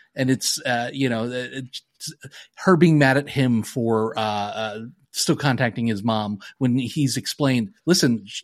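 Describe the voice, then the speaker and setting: A man's normal speaking voice, medium in pitch with ordinary pitch variation, at a moderate pace, in a dry, close sound with no echo. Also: very clean recording, silent background. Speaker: podcast co-host. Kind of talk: casual chat. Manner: profane, casual.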